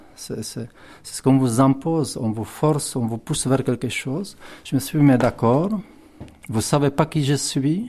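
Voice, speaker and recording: A man speaks at medium pitch with a Czech accent. His pace is fairly slow. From Czech Republic, southern Bohemia (Tábor). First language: Czech (speaking French). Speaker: writer. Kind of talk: interview. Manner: halting, many fillers and repetitions.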